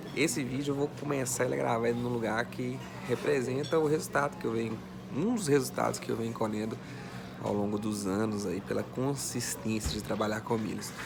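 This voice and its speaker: A man's medium-pitched voice at a fairly quick pace with lively intonation, noticeable background noise and audible room echo. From Minas Gerais, Brazil (Vale do Aço). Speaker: online finance educator. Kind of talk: personal story vlog. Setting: airport VIP lounge. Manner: casual, conversational.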